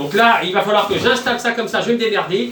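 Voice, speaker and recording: Loud and at a moderate pace, a man speaks with ordinary pitch variation amid audible room echo and noticeable background noise. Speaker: online sailing game community YouTuber. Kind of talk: casual live stream. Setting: small room at home. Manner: hesitant, many fillers. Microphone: no microphone.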